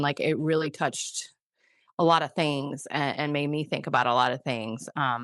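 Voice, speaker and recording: Ordinary pitch variation at a moderate pace, with a Midwestern accent, against a quiet background. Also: woman. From US Midwest. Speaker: podcast co-host. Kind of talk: casual chat. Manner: halting, many fillers.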